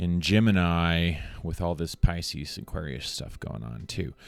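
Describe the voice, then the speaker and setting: Soft-spoken, a man talks at a very slow pace. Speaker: motivational speaker. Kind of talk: motivational speech to camera. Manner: shifts between intense and soft, varied speeds.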